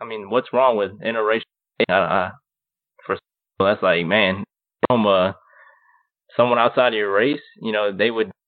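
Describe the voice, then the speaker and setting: At a moderate pace, a man speaks at a fairly low pitch with fairly even intonation and long, frequent pauses. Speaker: podcast co-host. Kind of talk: casual chat. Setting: remote call with co-hosts.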